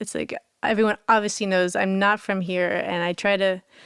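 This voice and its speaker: A woman with an American accent has a normal speaking voice at a medium pitch. She speaks at a moderate pace with fairly even intonation. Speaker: harpist. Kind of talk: interview storytelling.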